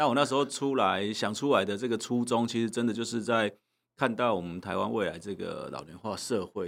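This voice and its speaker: On a very clean recording with a silent background, a man talks at a fairly quick pace in a plain, everyday voice, fairly low in pitch with ordinary pitch variation. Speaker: legislator. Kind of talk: interview.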